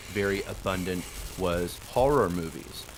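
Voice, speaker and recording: A man with an American accent at a moderate pace, ordinary pitch variation, and noticeable background noise. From Oklahoma, US. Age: 30s. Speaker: podcast guest, content creator. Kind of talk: casual chat.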